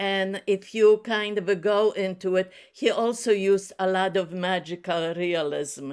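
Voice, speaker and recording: A woman speaks at a medium pitch with a non-native accent. Her pace is fairly slow and her pitch varies in an ordinary way. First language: not English. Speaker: book club participant. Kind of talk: casual chat. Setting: video call.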